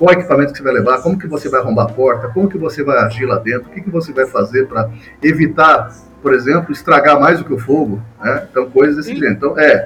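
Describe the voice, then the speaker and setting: Over music in the background, a man with a fairly high pitch talks at a very fast pace with ordinary pitch variation. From Brazil, São Paulo state (Mogi das Cruzes). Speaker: retired fire brigade colonel. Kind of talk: podcast interview.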